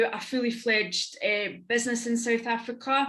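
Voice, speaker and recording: Bright and sharp in tone, a woman's fairly high voice moves at a moderate pace. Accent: Scottish. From Scotland. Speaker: business network founder and entrepreneur. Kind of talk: panel discussion.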